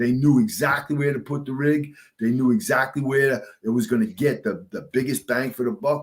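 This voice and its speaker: A fairly high-pitched, somewhat breathy man with a New York accent, lively intonation and a moderate pace. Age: 60s. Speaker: retired fire captain. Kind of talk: casual interview chat.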